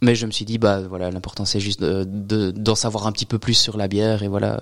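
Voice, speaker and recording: Speaking at a fairly quick pace, a man keeps a monotone, flat intonation with a fairly low pitch. The sound is dry and close, with no echo. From Belgium, Liège region. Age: 30s. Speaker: craft brewer. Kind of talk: casual interview.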